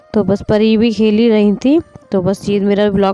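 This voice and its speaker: A woman's dark, mellow tone with a dry, close sound and no echo. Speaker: family vlogger, mother. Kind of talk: casual vlog narration. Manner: conversational, chatty.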